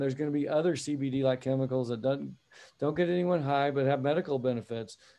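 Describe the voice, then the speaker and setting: With an American accent, a man uses a normal speaking voice at a fairly high pitch and with fairly even intonation. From US (Texas/Oklahoma area). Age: 50s. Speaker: accountant and CFO business founder. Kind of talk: interview.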